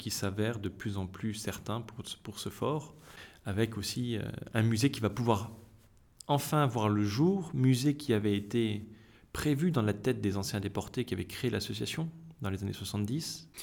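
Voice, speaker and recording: There is vocal fry in this man's fairly low voice. His pitch varies in an ordinary way. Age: 30s. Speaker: association secretary and doctor. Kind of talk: interview. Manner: halting.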